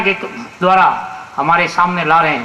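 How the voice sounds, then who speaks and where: A man speaks in a raised, projected voice. Room echo and noticeable background noise come through. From Rajasthan (Marwar), India. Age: 60s. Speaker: conference speaker. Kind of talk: public speech. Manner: halting, frequent restarts.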